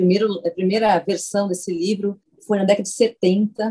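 Somewhat breathy and dark, mellow in tone, a woman's voice holds a medium pitch at a moderate pace. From southern Brazil, Porto Alegre. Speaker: scientist. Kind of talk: interview.

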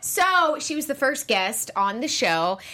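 An animated woman's voice with an American accent at a moderate pace, over noticeable background noise. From US South, Charleston, South Carolina. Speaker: TV after-show host. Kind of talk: casual panel chat.

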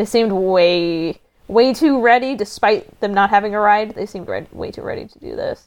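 A woman with an American accent talks in a plain, everyday voice at a fairly high pitch and a moderate pace. Her pitch variation is ordinary, while her loudness swings widely. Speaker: podcast guest. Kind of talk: casual chat.

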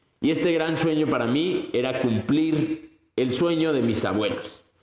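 There is audible room echo as a man speaks in an animated tone at a fairly slow pace with ordinary pitch variation. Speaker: podcast host. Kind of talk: motivational monologue.

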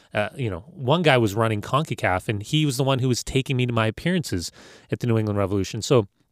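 Recorded very cleanly with a silent background and a dry, close sound with no echo, a man of medium pitch with an American accent talks at a very fast pace with lively intonation. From Los Angeles, US. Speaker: former soccer player, broadcaster. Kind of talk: interview.

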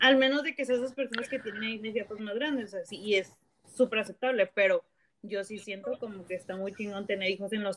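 A woman with an unremarkable speaking voice talks at a fairly quick pace and fairly high pitch, with ordinary pitch variation and a dry, close sound with no echo. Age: 30s. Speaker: podcast host. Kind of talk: casual chat. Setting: remote call.

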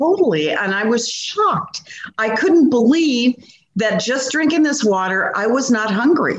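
A woman speaks fairly slowly at a high pitch. Her pitch swings very widely. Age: 70s. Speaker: weight loss client. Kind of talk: interview testimony.

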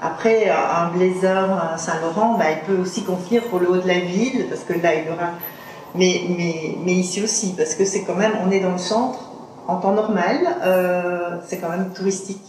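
Her intonation fairly even, a woman speaks with audible room echo and noticeable background noise. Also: medium pitch for a woman, fairly slow pace. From Belgium, Liège. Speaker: second-hand clothing shop owner. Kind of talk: interview. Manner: halting.

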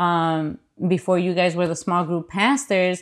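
Against a quiet background, a woman with an American accent speaks at a fairly slow pace. She has an unremarkable speaking voice with fairly low pitch. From US Midwest, Chicago. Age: 30s. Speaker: pastor. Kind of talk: casual chat.

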